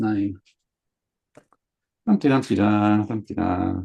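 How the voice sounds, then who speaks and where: A man speaks fairly slowly with a slight Sydney accent. His tone is dark and mellow, at a fairly low pitch. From Sydney, Australia. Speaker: comics chat show co-host, cartoonist. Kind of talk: casual chat.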